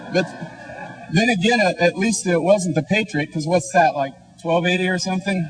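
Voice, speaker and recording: A man speaks in a high voice at a moderate pace, with ordinary pitch variation. Noticeable background noise runs underneath. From Kansas, US Midwest. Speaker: debater. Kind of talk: debate speech.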